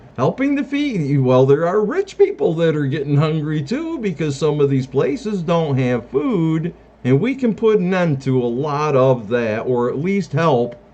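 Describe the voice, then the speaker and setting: Noticeable background noise surrounds a man speaking fairly slowly. His pitch is fairly high and his intonation lively. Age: 60s. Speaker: self-declared presidential candidate. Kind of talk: campaign monologue.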